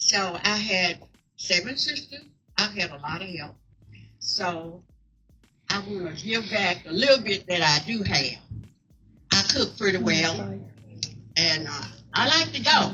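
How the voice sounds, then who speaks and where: Music plays behind a woman with a Southern US accent, her medium pitch swinging very widely. She speaks fairly slowly, with long, frequent pauses. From Mississippi. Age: 80s+. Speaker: co-founder of veterans house. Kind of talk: speech at community event.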